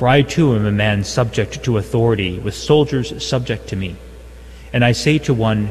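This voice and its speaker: A man with a fairly low pitch speaks at a moderate pace with lively intonation over noticeable background noise. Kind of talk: liturgy and homily. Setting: chapel.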